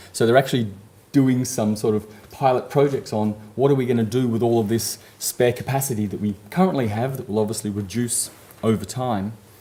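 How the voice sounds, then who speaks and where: Talking at a fairly quick pace, a man has a medium pitch with ordinary variation. His tone is dark and mellow. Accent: Australian. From Australia. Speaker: conference speaker, network services manager. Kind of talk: conference presentation. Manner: frequent fillers, um and uh.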